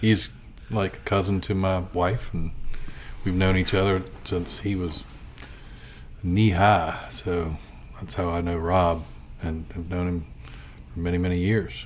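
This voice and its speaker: Over audible room echo, a man with an American accent speaks at a fairly slow pace with long, frequent pauses, using a very deep, low pitch and fairly even intonation. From US South, Gloucester County, Virginia. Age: 60s. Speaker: artist and photographer. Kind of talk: interview.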